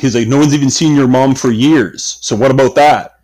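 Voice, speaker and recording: Using a put-on character voice, a man speaks at a medium pitch and a moderate pace with fairly even intonation. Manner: harsh, cutting, mocking.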